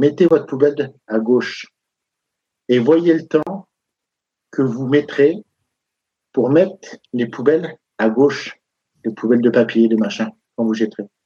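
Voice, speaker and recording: At a fairly slow pace with long, frequent pauses, the voice has a dark, mellow tone and ordinary pitch variation, in a dry, close sound with no echo. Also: man, medium pitch for a man. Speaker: rugby pundit. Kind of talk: heated debate. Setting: live stream. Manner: animated.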